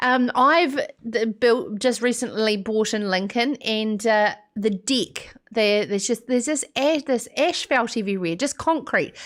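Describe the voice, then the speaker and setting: Recorded very cleanly against a silent background, a woman with a New Zealand accent speaks at a fairly slow pace, with a fairly high pitch and very even loudness. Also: ordinary pitch variation. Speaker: radio host. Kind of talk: live show monologue. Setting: studio.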